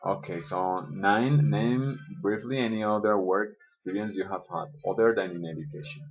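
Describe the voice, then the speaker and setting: With a Spanish accent, a man talks at a moderate pace, his pitch swinging very widely. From Colombia. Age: 20s. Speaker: schoolteacher. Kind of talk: self-interview reading questions and answering. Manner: hesitant with fillers.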